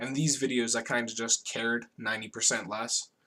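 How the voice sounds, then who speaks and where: Over a silent background in a very clean recording, a man with a medium pitch and a bright, sharp tone speaks at a moderate pace in a monotone, flat intonation. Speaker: gaming video creator. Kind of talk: gameplay tutorial narration. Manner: stuttering and stumbling over words; casual, rambling with many fillers.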